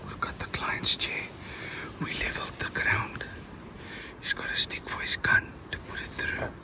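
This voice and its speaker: Someone whispers at a fairly slow pace with long, frequent pauses. Background noise is noticeable. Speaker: professional hunter. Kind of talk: field commentary. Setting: outdoors, grass blind. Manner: whispering.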